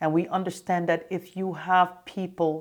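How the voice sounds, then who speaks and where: Speaking at a fairly slow pace, a woman with a slight Jamaican accent keeps a fairly low pitch and fairly even intonation. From Jamaica, raised in Canada. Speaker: former state politician. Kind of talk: interview.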